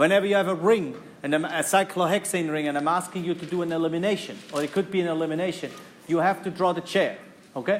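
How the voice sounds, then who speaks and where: Talking at a very fast pace, a man uses a high pitch for a man against noticeable background noise. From German-speaking Europe. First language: German. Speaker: university chemistry lecturer. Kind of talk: lecture. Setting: classroom.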